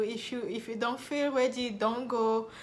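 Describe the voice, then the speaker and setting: With a French accent, a woman speaks fairly slowly in a fairly high voice with fairly even intonation, and audible room echo surrounds her. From Republic of Congo. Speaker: nurse and video blogger. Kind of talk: personal story vlog.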